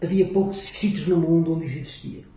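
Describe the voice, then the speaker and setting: Noticeable background noise and audible room echo surround a man speaking in a high voice. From northern Portugal, Vila do Conde. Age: 60s. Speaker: physics professor. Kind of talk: casual interview.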